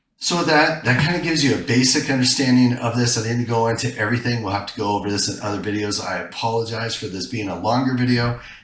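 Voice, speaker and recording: A man speaks at a very fast pace with medium pitch and ordinary pitch variation, with audible room echo and noticeable background noise. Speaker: software tutorial presenter. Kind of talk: tutorial.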